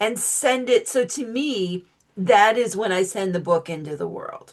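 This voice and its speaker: A woman speaks in a normal speaking voice at medium pitch, with lively intonation and a fairly slow pace. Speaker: author and witchcraft teacher. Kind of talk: interview conversation.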